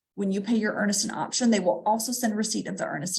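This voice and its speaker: An American accent comes through with vocal fry. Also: woman. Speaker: real estate agent. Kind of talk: live stream tutorial. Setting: livestream. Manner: fast.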